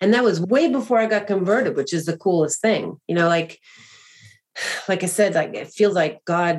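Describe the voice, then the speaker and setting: At a moderate pace, a woman talks in an ordinary speaking voice of medium pitch with ordinary pitch variation. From US Northeast, greater Boston. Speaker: adoptive mother and author. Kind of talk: interview testimony.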